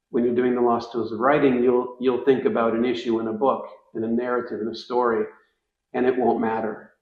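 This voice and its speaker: Amid audible room echo, a man at medium pitch talks at a fairly quick pace in a monotone, flat intonation. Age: 60s. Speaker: writing curriculum educator. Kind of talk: interview. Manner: halting, frequent repetitions.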